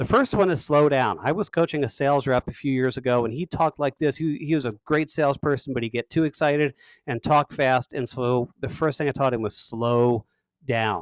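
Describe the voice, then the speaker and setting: A man's fairly high voice with ordinary pitch variation, at a fairly quick pace, in a dry, close recording with no echo. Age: 40s. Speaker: sales trainer. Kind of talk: webinar. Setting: webinar. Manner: fast; varied intonation.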